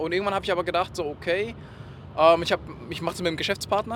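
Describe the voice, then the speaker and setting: A man at a very fast pace and high pitch, with noticeable background noise. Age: 20s. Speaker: e-commerce project manager. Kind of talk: interview. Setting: in a car.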